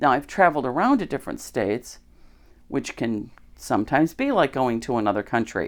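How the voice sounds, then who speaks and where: Speaking in an American accent, a woman with a very deep, low voice uses lively intonation at a fairly quick pace in a very clean recording with a silent background. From US Midwest, Chicago area, Illinois. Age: 60s. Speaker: podcaster, religious teacher. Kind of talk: casual monologue. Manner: conversational, with fillers.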